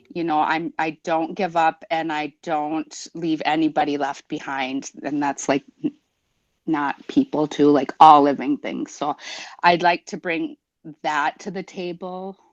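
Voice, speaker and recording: In a dry, close sound with no echo, a woman with an American accent speaks fairly slowly, her pitch very deep and low, her intonation fairly even. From Minnesota, Prairie Island Indian Community. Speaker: school board member. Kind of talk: self-introduction in a meeting. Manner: rambling, hesitant with fillers.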